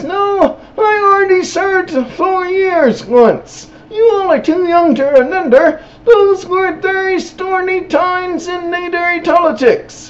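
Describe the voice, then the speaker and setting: A woman puts on a character voice at an extremely high pitch, speaking at a fairly slow pace. Light background noise runs underneath. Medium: solo performance.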